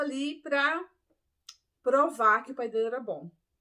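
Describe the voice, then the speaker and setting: A woman talks with lively intonation at a moderate speed, in an ordinary speaking voice. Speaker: ex-Adventist Bible teacher. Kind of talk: Bible study talk.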